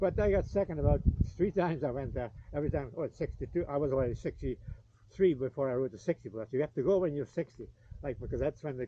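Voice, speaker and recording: The speech comes at a very fast pace with vocal fry. Pitch variation is ordinary. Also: man, fairly high pitch for a man. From Canada. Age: 70s. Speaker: retired motocross racer. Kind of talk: casual chat.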